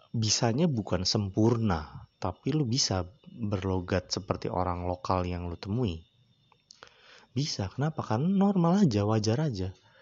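A man's fairly low pitch with lively intonation, at a fairly slow pace. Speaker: podcast host. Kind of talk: casual solo monologue. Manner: rambling, frequent fillers.

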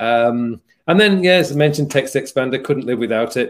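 This man has a Yorkshire accent. He talks at a moderate pace. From Yorkshire, England. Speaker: productivity coach and YouTuber. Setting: live stream, video call.

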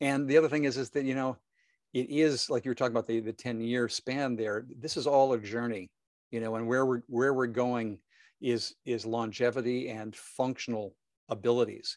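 A man with a medium-pitched voice talks at a moderate pace with fairly even intonation, in a dry, close sound with no echo. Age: 60s. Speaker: fitness business educator. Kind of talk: interview. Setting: video call. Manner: halting.

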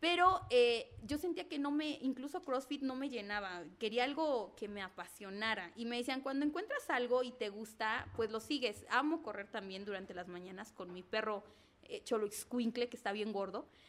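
An unremarkable speaking voice from a woman, fairly high in pitch, with lively intonation and a moderate pace. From Mexico, Zacatelco, Tlaxcala. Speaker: entrepreneur, pole dance instructor. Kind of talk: casual interview.

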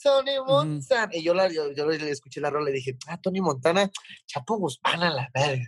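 A man at a fairly quick pace, dry and close with no echo. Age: 30s. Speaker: rapper. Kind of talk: casual chat.

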